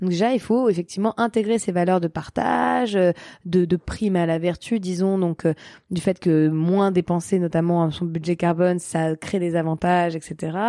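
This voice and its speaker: Dry and close with no echo, a woman's fairly low voice moves at a fairly slow pace with fairly even intonation, an unremarkable speaking voice. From eastern Paris, France. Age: 30s. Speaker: social entrepreneur. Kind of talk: interview.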